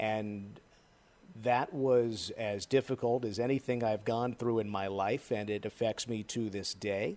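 A plain, everyday voice with an American accent speaks at a fairly slow pace. The intonation stays fairly even. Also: man, medium pitch for a man. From northern New Jersey. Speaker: sports broadcaster. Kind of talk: interview.

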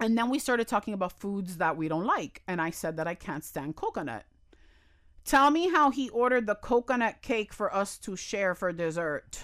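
In an American accent, a woman at medium pitch speaks at a moderate pace with very wide pitch swings, on a very clean recording with a silent background. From Miami, US. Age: 30s. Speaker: elementary school teacher and TikTok creator. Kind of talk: casual interview chat. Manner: animated, humorous.

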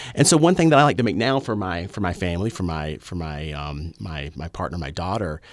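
A man's very deep, low voice with a Southern US accent, on a very clean recording with a silent background. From US South, rural. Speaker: historian and radio show co-host. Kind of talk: casual chat. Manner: halting, many repeated words.

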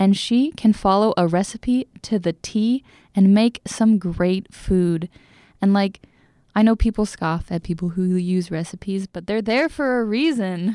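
In an American accent, a woman at medium pitch speaks at a fairly slow pace with ordinary pitch variation, the sound dry and close with no echo on a very clean recording with a silent background. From US Northwest, Seattle. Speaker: radio station worker, former volunteer. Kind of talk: casual interview. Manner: chatty, frequent laughs.

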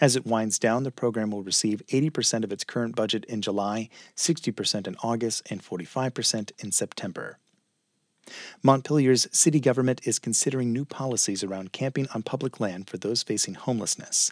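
With a plain, everyday voice, a man speaks at a fairly quick pace and medium pitch, his pitch varying in an ordinary way, in a dry, close sound with no echo. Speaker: radio newscaster. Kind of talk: formal midday radio news bulletin read from script. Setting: radio studio. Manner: measured, even-paced newsreader delivery; crisp, neutral and formal, no personal asides.

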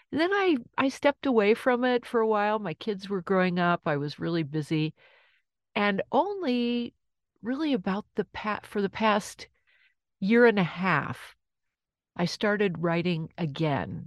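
Against a quiet background, a woman speaks at a medium pitch. Her fairly slow delivery has a dry, close sound with no echo. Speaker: lawyer and poet. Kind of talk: interview. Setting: home closet studio.

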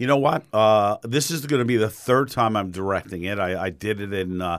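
A man with a New York accent speaks fairly quickly at a fairly low pitch with ordinary pitch variation. The recording is very clean, the background silent. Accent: New York, thickening. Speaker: theater director. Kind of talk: radio interview.

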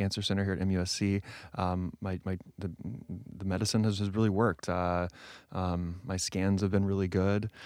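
On a very clean recording with a silent background, a man with a plain, everyday voice and a fairly low pitch speaks at a moderate pace. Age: 30s. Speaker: playwright and actor. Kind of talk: interview.

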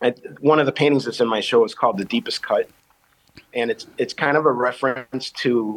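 Ordinary pitch variation marks this man's medium-pitched speech. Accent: Chicago. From Chicago South Side. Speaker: painter and teaching artist. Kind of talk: interview. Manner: halting.

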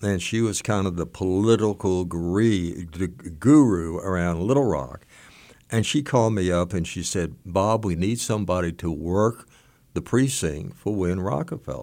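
An American-accented man speaks at a moderate pace with a very deep, low pitch, a dark, mellow tone and lively intonation, on a very clean recording with a silent background. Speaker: retired judge. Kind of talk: interview. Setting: studio.

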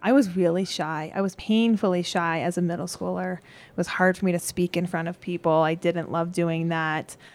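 In a very clean recording with a silent background, a woman talks at a moderate pace with fairly even intonation. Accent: American. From Colorado. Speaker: middle school science teacher. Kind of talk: interview. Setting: classroom.

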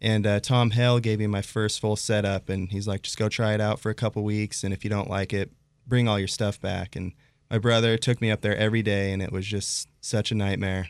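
Delivered at a fairly quick pace in an American accent, the speech is monotone and flat, recorded very cleanly against a silent background with a dry, close sound and no echo. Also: man, fairly low pitch for a man. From Idaho, Pocatello. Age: 30s. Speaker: professional snowboarder. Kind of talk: casual chat.

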